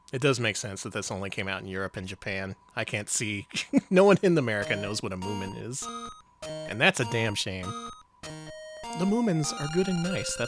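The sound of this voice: A man talks with very wide pitch swings. Background music can be heard. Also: medium pitch for a man, moderate pace.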